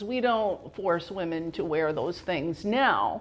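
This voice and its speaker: At a very slow pace, a woman with an American accent speaks with very wide pitch swings. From upstate New York. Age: 60s. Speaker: artist. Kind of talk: artist talk about own artwork. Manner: halting, with self-corrections.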